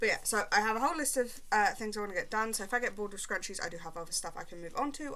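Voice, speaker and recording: A woman with a British accent, heard with audible room echo. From Britain. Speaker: crochet vlogger. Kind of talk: casual vlog chat while crafting. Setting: at home, upstairs room. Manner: casual, rambling with many fillers.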